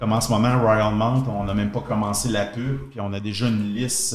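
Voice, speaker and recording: A man with a fairly low voice and fairly even intonation speaks at a moderate pace, with noticeable background noise and audible room echo. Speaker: entrepreneur. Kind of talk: interview.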